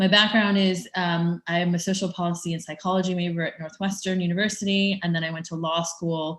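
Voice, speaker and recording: Very fast, somewhat breathy woman, fairly low pitch, monotone and flat intonation, very clean recording, silent background. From US Midwest, Chicago. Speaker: tech startup founder. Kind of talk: conference presentation. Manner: hesitant with many fillers.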